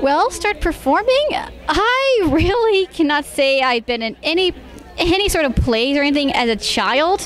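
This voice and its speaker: With crowd noise behind her, a woman speaks at an extremely high pitch in a dry sound with no echo. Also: moderate pace. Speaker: guest. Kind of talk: interview answer. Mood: friendly, slightly shy. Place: hall. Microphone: handheld.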